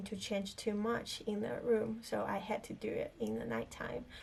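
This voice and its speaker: A woman's voice with a non-native accent. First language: not English. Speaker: filmmaker and video creator. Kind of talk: casual chat to camera. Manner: halting, many fillers.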